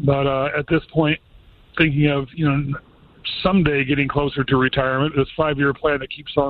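A man of medium pitch speaks at a moderate pace with little pitch movement.

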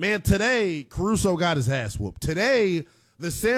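A man with a high pitch talks at a fairly slow pace, his voice swinging widely up and down.

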